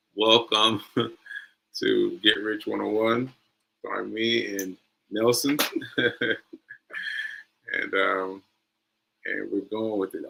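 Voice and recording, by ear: A man's raspy, put-on character voice at a very slow pace, with long, frequent pauses.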